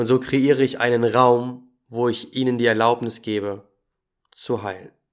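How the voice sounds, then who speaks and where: On a very clean recording with a silent background, a man talks in an ordinary speaking voice at a medium pitch and a fairly slow pace. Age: 20s. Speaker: podcast host and holistic coach. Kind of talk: scripted podcast intro monologue.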